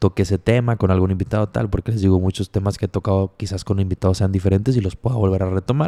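A man with a Mexican accent speaks very fast in a fairly low, dark and mellow voice, recorded dry and close with no echo. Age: 20s. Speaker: podcast host. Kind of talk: casual monologue.

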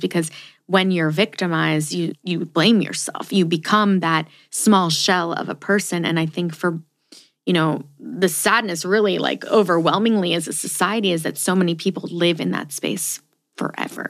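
A woman has an ordinary speaking voice, fairly low in pitch, with fairly even intonation at a moderate pace. Her recording is very clean, with a silent background. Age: 30s. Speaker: podcast host. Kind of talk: casual interview.

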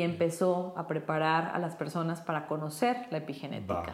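Room echo is audible here. The voice belongs to a woman. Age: 40s. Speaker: brain coach. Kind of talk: interview.

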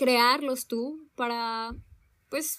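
A woman's fairly high pitch and fairly even intonation come through on a very clean recording with a silent background. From Mexico, Zihuatanejo (coast). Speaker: podcast co-host. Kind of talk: casual chat.

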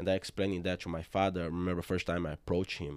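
A man with a Brazilian Portuguese accent speaks at a very deep, low pitch in a monotone, flat intonation. The recording is very clean, with a silent background. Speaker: jiu-jitsu gym owner. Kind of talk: casual interview chat.

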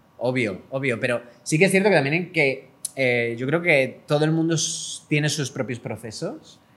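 Speaking at a moderate pace, a man with a fairly high voice shows ordinary pitch variation. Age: 30s. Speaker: podcast co-host. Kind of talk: casual chat.

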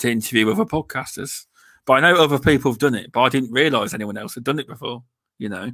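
In an East Midlands accent, a man speaks at medium pitch with a bright, sharp tone and ordinary pitch variation. The recording is very clean, with a silent background. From Leicestershire, England.

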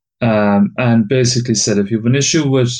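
Speaking at a moderate pace with a medium pitch and ordinary pitch variation, a man talks in an Irish accent. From Ireland. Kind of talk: casual chat.

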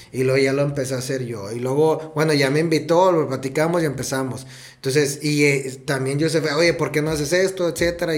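A man talks at a fairly quick pace with fairly high pitch. His intonation stays fairly even, and the room echo is audible. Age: 30s. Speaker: podcast co-host and teacher. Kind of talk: casual chat.

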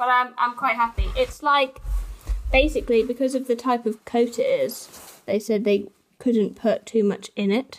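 A woman with a high pitch talks at a moderate pace, her intonation fairly even. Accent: English Midlands. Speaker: podcast co-host. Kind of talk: casual chat.

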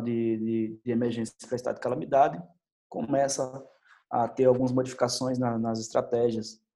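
A man's dark, mellow voice at medium pitch, moderate in pace and monotone, flat in intonation. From Brazil, Bahia (Salvador). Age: 30s. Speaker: teacher and doctoral student. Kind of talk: testimony. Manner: halting, many fillers.

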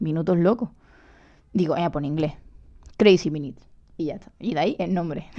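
A woman speaks with a dark, mellow tone at a fairly low pitch. Her speech is broken by long, frequent pauses. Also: ordinary pitch variation, fairly quick pace, big swings in loudness. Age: 20s. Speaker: podcast host and journalism student. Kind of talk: solo podcast monologue. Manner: hesitant, with fillers.

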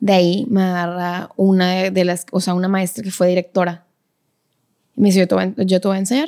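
A woman of medium pitch speaks at a moderate pace in a dark, mellow tone with fairly even intonation. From Monterrey, Nuevo León, Mexico. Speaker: professional ballet dancer and teacher. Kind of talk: casual interview conversation.

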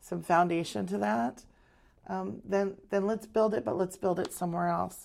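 With a General American accent, a woman speaks at a fairly slow pace. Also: very clean recording, silent background. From Arizona. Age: 50s. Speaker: realtor and council staff assistant. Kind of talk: interview.

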